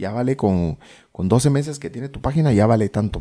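On a very clean recording with a silent background, a man with a dark, mellow tone talks fairly quickly as his pitch swings very widely. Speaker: podcaster. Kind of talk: casual chat.

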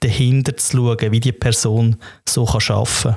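The speaker has a Swiss German accent. The pace is fairly slow. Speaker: podcast co-host. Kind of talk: casual chat.

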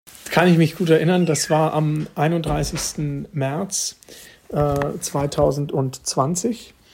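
A man's fairly high voice at a very slow pace, with fairly even intonation and noticeable background noise. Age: 20s. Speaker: mayor. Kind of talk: interview answers.

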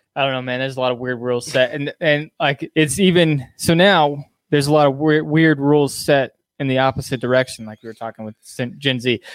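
In a dry, close recording with no echo, a man with an ordinary speaking voice talks at a fairly quick pace and a fairly high pitch, his intonation fairly even but his loudness swinging widely. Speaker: podcast host. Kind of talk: casual chat. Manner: casual, joking.

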